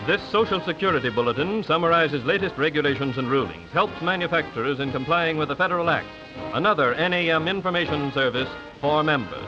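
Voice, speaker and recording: A man's fairly high voice at a very fast pace, ordinary pitch variation, music in the background. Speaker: narrator. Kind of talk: 1930s promotional film narration.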